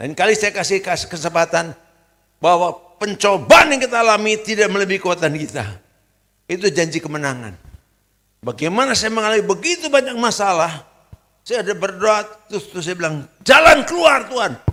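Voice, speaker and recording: With very wide pitch swings, a man speaks at a high pitch and a fairly quick pace in a raised, projected voice. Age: 70s. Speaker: pastor. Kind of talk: sermon. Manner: conversational.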